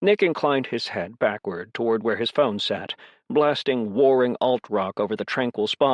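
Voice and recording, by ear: The text is being read aloud in a natural voice.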